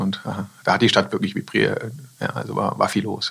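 A man talks with noticeable background noise in the recording. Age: 40s. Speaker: company managing director. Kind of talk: business interview. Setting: studio.

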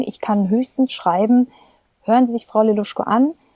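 A woman with a fairly high pitch speaks in a calm, dark, mellow, somewhat breathy tone with ordinary pitch variation, in a dry, close sound with no echo. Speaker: singer and voice teacher. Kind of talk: interview conversation. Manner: calm, pleasant manner.

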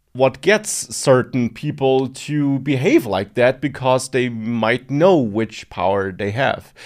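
On a very clean recording with a silent background, a man with a non-native accent speaks at a fairly slow pace and medium pitch, with ordinary pitch variation. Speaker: online course creator and podcast co-host. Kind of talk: casual chat.

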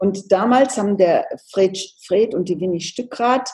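Speaking fairly slowly, a woman uses a dark, mellow tone. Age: 70s. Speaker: homeopath. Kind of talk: interview.

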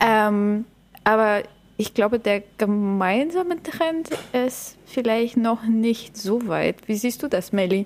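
A woman's fairly high voice at a very slow pace, with ordinary pitch variation and very even loudness. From Bulgaria. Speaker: podcast host, agile coach. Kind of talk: casual chat.

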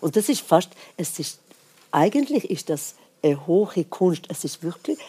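With a Swedish accent, a woman speaks in a fairly low voice with lively intonation. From Sweden. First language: Swedish (speaking German). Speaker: jazz singer and pianist. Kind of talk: casual chat. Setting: stage with audience.

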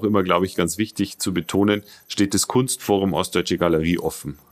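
A man with a very deep, low voice talks at a fairly quick pace with ordinary pitch variation, on a very clean recording over a silent background. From Bavaria, Regensburg. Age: 40s. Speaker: company spokesperson. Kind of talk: interview. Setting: studio. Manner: hesitant, many fillers.

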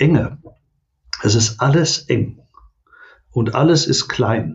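This man sounds somewhat breathy, and his pitch varies in an ordinary way. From Ruhr area, Germany (Oberhausen). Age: 60s. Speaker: welfare association director. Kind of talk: interview conversation.

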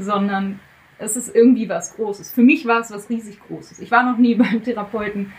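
With noticeable background noise behind her, a woman talks at a moderate pace and keeps her intonation fairly even. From Germany. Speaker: guest telling her breakup story. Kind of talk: casual interview. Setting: guest room in Zurich.

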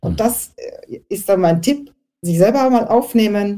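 The voice is somewhat breathy, with a dark, mellow tone, lively intonation and a moderate pace. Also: woman. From Austria. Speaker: networking and presentation coach. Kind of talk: panel discussion. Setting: online audio event.

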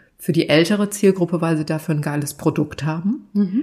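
A dark, mellow, somewhat breathy voice at a moderate pace with ordinary pitch variation. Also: woman. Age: 50s. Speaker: content creator and TV expert. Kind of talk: casual chat. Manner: animated.

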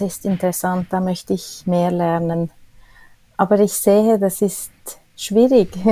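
With a dark, mellow tone, a woman speaks in fairly even intonation. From Switzerland. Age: 50s. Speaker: cleaning staff manager. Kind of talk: interview. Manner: hesitant, many filler sounds.

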